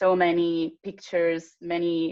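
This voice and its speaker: Speaking in an Italian accent, a woman uses a fairly low pitch and monotone, flat intonation at a very slow pace. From Italy. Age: 20s. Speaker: patient advocate. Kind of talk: casual chat. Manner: halting.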